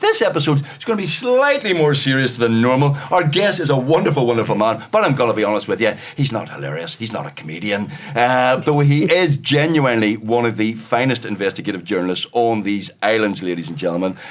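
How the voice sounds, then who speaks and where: Over noticeable background noise, a man with a Northern Irish accent talks at a fairly quick pace with hardly any pauses, his medium pitch swinging very widely. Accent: Northern Irish (Belfast). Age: 60s. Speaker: comedian and podcast host. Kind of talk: casual chat.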